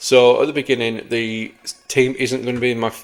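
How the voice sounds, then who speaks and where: A man with an English accent at a moderate pace, in a monotone, flat intonation. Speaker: gaming youtuber. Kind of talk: gameplay commentary. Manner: halting.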